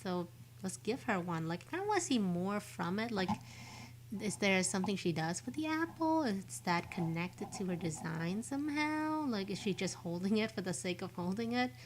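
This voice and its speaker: A woman speaks somewhat breathily at medium pitch and a moderate pace, her pitch swinging very widely. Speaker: vtuber streamer. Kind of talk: casual live-stream commentary. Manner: casual, hesitant with many fillers.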